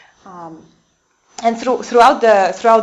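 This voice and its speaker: The voice belongs to a woman with a Polish accent. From Poland. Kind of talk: lecture. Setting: convent talk with audience. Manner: halting, many fillers.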